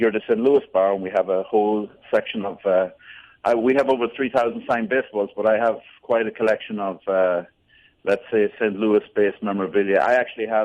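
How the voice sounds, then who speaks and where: With an Irish accent, a man talks at a fairly quick pace in a fairly low pitch and with fairly even intonation. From Ireland, near Dublin. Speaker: Irish pub owner. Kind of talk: radio phone interview. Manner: hesitant with many fillers.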